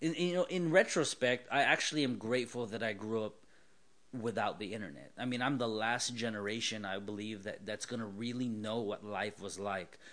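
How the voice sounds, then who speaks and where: With a Californian accent, a man speaks using very wide pitch swings against a quiet background. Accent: Californian American. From Southern California. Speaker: car builder and automotive writer. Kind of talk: casual interview.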